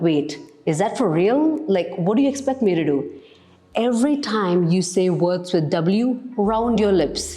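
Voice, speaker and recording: A woman at a medium pitch with very wide pitch swings and a moderate pace, amid noticeable background noise and audible room echo. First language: Malayalam. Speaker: English teacher. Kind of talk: tutorial.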